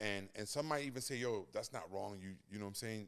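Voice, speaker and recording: A man with a New York accent, medium pitch, fairly quick pace. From Brooklyn, New York. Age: 40s. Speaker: podcast co-host, custom business owner. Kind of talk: casual chat.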